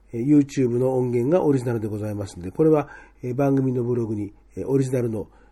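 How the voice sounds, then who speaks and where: A man with a medium pitch speaks at a fairly quick pace, showing ordinary pitch variation. His tone is dark and mellow and somewhat breathy. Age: 50s. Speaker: podcast host. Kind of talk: casual chat. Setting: studio.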